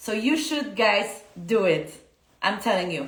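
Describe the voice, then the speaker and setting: A woman's fairly slow, fairly high-pitched speech in a Polish accent, with audible room echo and noticeable background noise. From Poland. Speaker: dance teacher. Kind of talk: casual live-stream talk. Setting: Instagram live stream. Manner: halting, many fillers.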